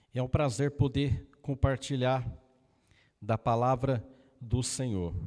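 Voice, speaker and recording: The man's pitch is medium. He speaks at a very slow pace. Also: fairly even intonation. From Brazil, interior of Paraná (Loanda, Maringá region). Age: 60s. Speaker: evangelist preacher. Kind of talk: personal introduction to congregation; sermon. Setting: church service.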